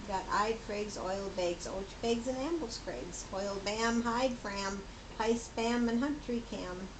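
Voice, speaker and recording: Amid noticeable background noise and audible room echo, a woman talks at a fairly slow pace with a fairly high pitch and ordinary pitch variation. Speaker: grandmother. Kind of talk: reading aloud. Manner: laughing hysterically; halting.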